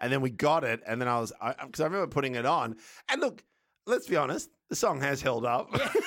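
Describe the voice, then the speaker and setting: With an Australian accent, a man talks very fast at a fairly high pitch and with ordinary pitch variation. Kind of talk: casual chat.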